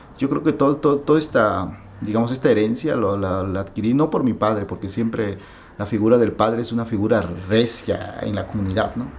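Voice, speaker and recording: With music playing in the background, a man with an Oaxacan accent talks at a fairly quick pace, his medium pitch showing ordinary variation. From Mexico, Oaxaca. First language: Zapotec (speaking Spanish). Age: 30s. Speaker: writer. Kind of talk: interview. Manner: halting.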